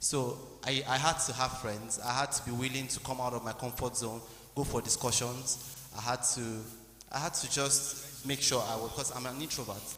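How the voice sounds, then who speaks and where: A man at a medium pitch, monotone and flat, moderate pace, over noticeable background noise. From Nigeria, Abuja. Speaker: medical student. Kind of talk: testimony. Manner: halting.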